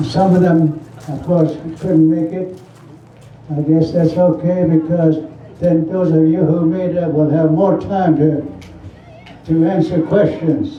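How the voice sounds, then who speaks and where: Fairly slow, monotone, flat speech in a Southwestern US accent, with long, frequent pauses, audible room echo and noticeable background noise. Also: man, fairly high pitch for a man. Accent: Navajo-accented English. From Navajo Nation, US Southwest. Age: 90s. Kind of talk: public speech at community forum.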